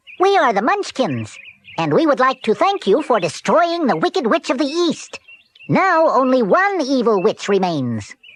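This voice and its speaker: A high-pitched, put-on character voice with very wide pitch swings, at a moderate pace. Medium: read story.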